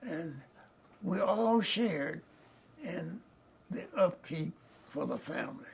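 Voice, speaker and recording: A man with a Southern US accent, high-pitched and lively in intonation, very slow with long, frequent pauses, over noticeable background noise. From Arkansas. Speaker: retired judge. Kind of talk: oral history interview. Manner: halting.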